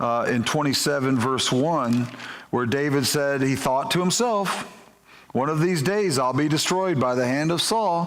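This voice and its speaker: A man with an American accent speaks fairly slowly at a fairly high pitch, with ordinary pitch variation. His loudness stays very even, and audible room echo surrounds him. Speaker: pastor. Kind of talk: sermon.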